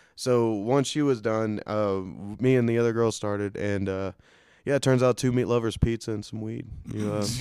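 In a very clean recording with a silent background, a man with a dark, mellow, medium-pitched voice speaks at a moderate pace with fairly even intonation. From Louisiana. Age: 20s. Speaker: comedian. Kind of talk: casual chat. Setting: studio.

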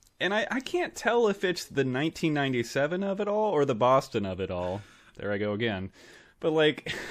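A man with a fairly high pitch and very wide pitch swings. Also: moderate pace, quiet background. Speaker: podcast co-host. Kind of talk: casual comedic chat, movie podcast. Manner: joking, laughs often, rambling.

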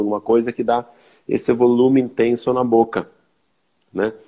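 A man is speaking. His tone is dark and mellow. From southern Brazil, Serra Gaúcha (Flores da Cunha, RS). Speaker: winemaker. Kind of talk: casual interview chat. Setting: Instagram live video call.

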